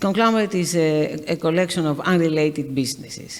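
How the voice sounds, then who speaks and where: A woman with a Greek accent speaks at a fairly quick pace, her very deep, low pitch held in fairly even intonation. Noticeable background noise and audible room echo surround her voice. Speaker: shipping company executive. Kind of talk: on-stage interview. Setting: stage with audience. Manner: halting.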